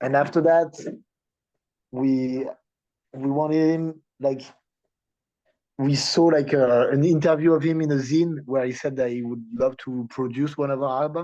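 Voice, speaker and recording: With a French accent and a dark, mellow tone, a man speaks at a fairly slow pace. His intonation is fairly even, and he leaves long, frequent pauses. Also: fairly high pitch for a man. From France, Paris. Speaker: punk band musician. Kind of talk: interview. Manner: halting.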